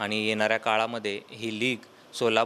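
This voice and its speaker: A man with a bright, sharp tone at medium pitch. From Solapur, Maharashtra, India. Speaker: digital marketing entrepreneur. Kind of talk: interview statement. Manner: halting.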